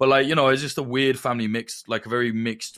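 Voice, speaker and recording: A man with a slight Midlands accent talks at a fairly quick pace in a bright, sharp tone on a very clean recording with a silent background. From Northamptonshire, England. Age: 30s. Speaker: conflict journalist. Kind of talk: casual chat.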